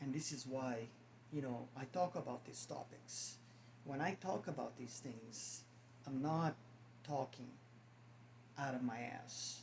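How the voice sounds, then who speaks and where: A man with a non-native accent and medium pitch speaks at a fairly slow pace with fairly even intonation and long, frequent pauses. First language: not English. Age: 50s. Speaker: spiritual vlogger. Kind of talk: casual monologue to camera. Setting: at home, on camera. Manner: halting, repeats words.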